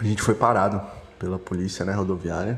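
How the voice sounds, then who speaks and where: A man's voice is heard. Background noise is noticeable throughout. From São Paulo area, Brazil. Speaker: listener sending voice message. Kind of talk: voice message story.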